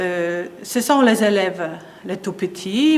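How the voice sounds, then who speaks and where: A woman's medium-pitched voice in a Polish accent, very slow with ordinary pitch variation, over noticeable background noise. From Poland. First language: Polish (speaking French). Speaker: piano teacher. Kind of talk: interview. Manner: halting, many hesitations.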